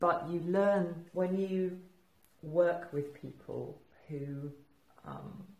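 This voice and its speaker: A woman with an English accent, somewhat breathy and at a fairly low pitch, at a very slow pace with long, frequent pauses, fairly even intonation, big swings in loudness and audible room echo. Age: 60s. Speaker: entrepreneur. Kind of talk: casual chat. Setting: studio. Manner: halting.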